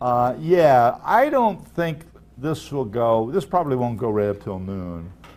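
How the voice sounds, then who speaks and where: Pitch swings very widely as a man speaks amid audible room echo. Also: medium pitch for a man, fairly slow pace. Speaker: professor. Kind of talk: lecture; office hours chat.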